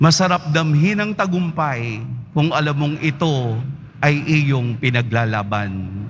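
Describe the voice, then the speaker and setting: A man's fairly high, somewhat breathy voice with lively intonation, delivered at a very slow pace amid audible room echo. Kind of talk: priest's solemn liturgical invitation to prayer, Tagalog Mass. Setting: church, livestreamed Mass. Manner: measured, formal priestly intonation.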